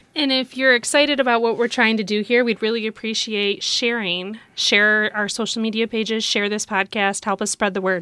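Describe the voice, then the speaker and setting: With an American accent, a woman speaks at a moderate pace in a bright, sharp tone, her fairly high pitch and fairly even intonation leaving hardly any pauses. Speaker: podcast co-host and former volleyball coach. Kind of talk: casual chat.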